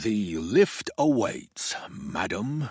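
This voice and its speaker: A man does a put-on character voice, growling at a medium pitch with very wide pitch swings. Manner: playful.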